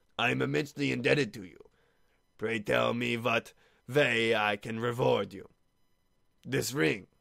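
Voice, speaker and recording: Using a raspy, put-on character voice at a medium pitch, a man speaks at a moderate pace with lively intonation, big swings in loudness and long, frequent pauses. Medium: read story. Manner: grand, emotional.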